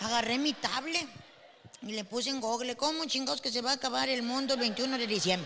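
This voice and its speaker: Pitched high and in an animated tone, a woman speaks at a fairly quick pace with ordinary pitch variation while noticeable background noise runs underneath. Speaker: comedian. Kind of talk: stand-up.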